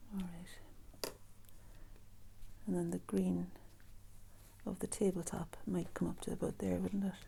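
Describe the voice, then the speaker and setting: This soft-spoken woman talks at a fairly slow pace. Her speech has long, frequent pauses. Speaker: artist and art teacher. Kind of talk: painting tutorial. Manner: casual, musing.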